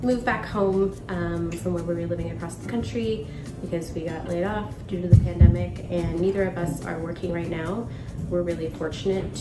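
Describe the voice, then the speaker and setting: Over clear music in the background, a woman talks at a moderate pace. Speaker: home renovator vlogger. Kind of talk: casual vlog chat. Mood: calm, reflective. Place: kitchen. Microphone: phone near.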